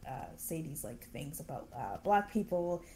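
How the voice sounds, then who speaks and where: A woman with an unremarkable speaking voice talks at a moderate pace with lively intonation. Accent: Canadian. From Canada. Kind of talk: interview.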